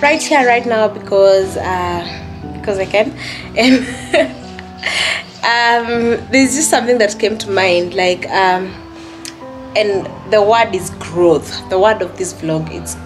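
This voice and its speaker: Clear music plays in the background as a woman speaks at a very slow pace. She uses long, frequent pauses and ordinary pitch variation. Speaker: vlogger. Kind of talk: casual vlog chat. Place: home room. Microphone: phone near.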